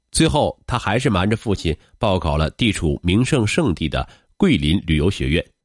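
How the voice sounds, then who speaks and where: A man with a very deep, low voice speaks at a fairly slow pace in a dramatic tone, with vocal fry and very wide pitch swings, in a dry, close sound with no echo against a quiet background. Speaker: narrator of a podcast. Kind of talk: true-crime style narration. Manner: measured, dramatic storytelling pace; formal, steady, polished.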